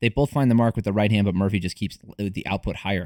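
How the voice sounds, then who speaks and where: The recording is very clean with a silent background. The sound is dry and close, with no echo. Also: man. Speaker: MMA podcast host. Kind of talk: fight breakdown commentary. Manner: fast; halting, many fillers.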